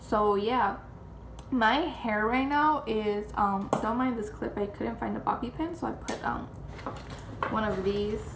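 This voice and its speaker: With noticeable background noise and audible room echo, a woman speaks at a fairly slow pace in a fairly high pitch with ordinary pitch variation. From Chicago area, Mexican-American family. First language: Spanish. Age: 20s. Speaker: vlogger. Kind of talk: casual chat.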